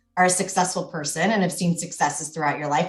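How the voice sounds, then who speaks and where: Her voice sits fairly low for a woman. There is some breathiness to it. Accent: American. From United States. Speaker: mental fitness coach. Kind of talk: podcast interview. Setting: podcast recording.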